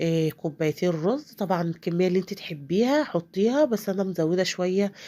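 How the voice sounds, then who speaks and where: Lively intonation from a woman at medium pitch. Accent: Egyptian. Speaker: home cook. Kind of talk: cooking tutorial. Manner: casual, hesitant with fillers.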